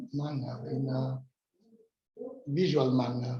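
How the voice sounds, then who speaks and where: The speaker talks at a fairly slow pace with an Italian accent. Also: man. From Italy, near Rome (Tivoli). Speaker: workshop participant, digital heritage company representative. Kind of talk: self-introduction presentation at workshop. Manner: halting, many hesitations.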